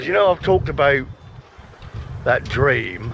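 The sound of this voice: Speaking slowly, a man with a medium pitch uses lively intonation.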